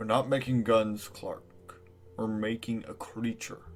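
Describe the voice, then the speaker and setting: With faint music in the background, a man uses a put-on character voice at medium pitch and a fairly slow pace. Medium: audio drama.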